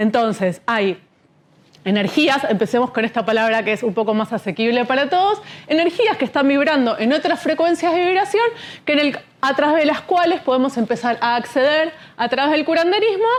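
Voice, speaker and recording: Pitch swings very widely in this woman's high voice. She talks at a fairly quick pace with very even loudness. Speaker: speaker on shamanism. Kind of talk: lecture. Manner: fast.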